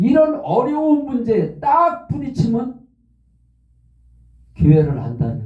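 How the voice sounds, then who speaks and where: Amid audible room echo, a man with an extremely high pitch and a dark, mellow tone speaks very slowly, with very wide pitch swings and long, frequent pauses. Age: 70s. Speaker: pastor. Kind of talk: sermon.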